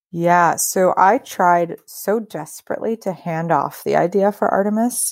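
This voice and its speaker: In a normal speaking voice, a woman talks with an American accent at a fairly low pitch, her pitch varying in an ordinary way. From US Northeast, New York suburbs near Yonkers. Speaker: agtech startup founder and CEO. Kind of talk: interview.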